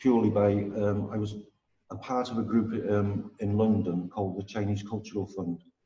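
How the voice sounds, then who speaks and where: In a North Welsh accent, a man speaks at a moderate pace and fairly low pitch, somewhat breathy and monotone with flat intonation, leaving long, frequent pauses. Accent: north Welsh (Wrexham). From Wales, Wrexham area. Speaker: Shaolin monk and martial arts teacher. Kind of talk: casual interview. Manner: halting, many repetitions.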